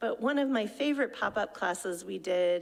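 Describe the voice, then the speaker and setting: A woman at a moderate pace. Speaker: adult education program director. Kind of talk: presentation to a club meeting. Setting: club meeting with audience. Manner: animated.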